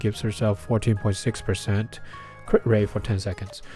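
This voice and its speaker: A man's voice sits fairly low in pitch. Music can be heard behind him. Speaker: gaming youtuber. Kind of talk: game character analysis. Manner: many filler words, hesitant.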